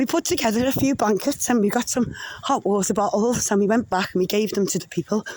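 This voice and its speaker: A woman's fairly high voice in a Liverpool accent, with lively intonation at a moderate pace over noticeable background noise. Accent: Scouse. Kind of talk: casual vlog talk to camera. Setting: outdoors, walking. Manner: heavy breathing, walking.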